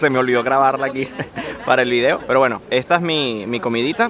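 Noticeable background noise sits under a dry sound with no echo. A man speaks at a very fast pace with ordinary pitch variation. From Venezuela. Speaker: travel vlogger. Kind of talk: vlog narration. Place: street. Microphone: phone near.

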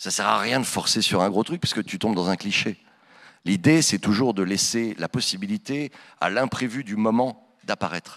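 Against a quiet background, a man with a normal speaking voice talks at a moderate pace, fairly low in pitch with lively intonation. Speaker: voice actor. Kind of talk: conference Q&A. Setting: stage with audience. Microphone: handheld.

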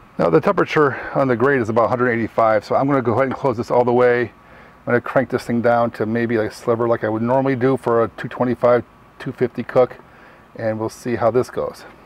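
Against noticeable background noise, a man at a medium pitch speaks with fairly even intonation. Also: moderate pace. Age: 40s. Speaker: barbecue YouTuber. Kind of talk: product review tutorial. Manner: casual, halting with fillers.

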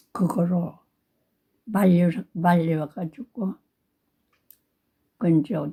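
Speaking at a very slow pace with long, frequent pauses, a woman has a fairly low pitch. Her voice is dark, mellow and somewhat breathy. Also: ordinary pitch variation. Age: 80s+. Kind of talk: storytelling, reminiscing about childhood. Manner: slow, drowsy storytelling.

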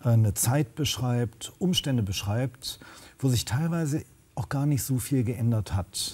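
A man talks at a very slow pace, with ordinary pitch variation. His tone is dark and mellow, and somewhat breathy. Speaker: social worker and drug counselor. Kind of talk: panel discussion. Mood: earnest, engaged. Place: studio. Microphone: lapel.

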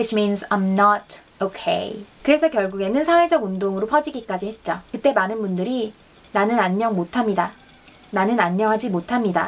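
This woman's pitch sits fairly high, and her intonation is lively. She talks at a moderate pace. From South Korea. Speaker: YouTuber teaching Korean. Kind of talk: bilingual educational vlog.

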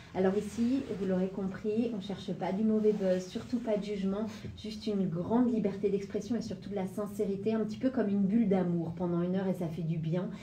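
A woman talks at a fairly quick pace with fairly even intonation. Audible room echo and light background noise surround her voice. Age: 30s. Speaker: radio host, former dancer; radio host. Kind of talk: radio interview. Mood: warm, welcoming. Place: studio.

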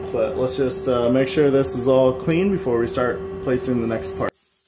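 Noticeable background noise sits behind the recording. A man speaks at a moderate speed. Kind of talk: tutorial. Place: workshop.

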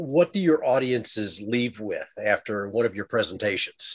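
This is a man speaking. His pace is fairly slow. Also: quiet background. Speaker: interview show host. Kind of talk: casual interview talk. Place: studio. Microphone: studio mic.

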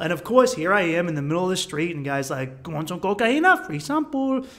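A high-pitched man with an American accent speaks with lively intonation amid noticeable background noise. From Boston area, US. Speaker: travel vlogger. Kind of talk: casual vlog narration.

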